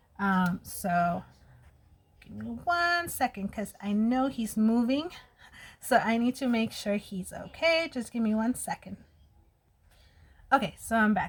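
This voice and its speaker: A woman's fairly high, somewhat breathy voice with an American accent, lively intonation, a fairly slow pace and long, frequent pauses. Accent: Mexican American accent at times. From US, Mexican American family. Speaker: beauty vlogger. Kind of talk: casual get-ready-with-me vlog.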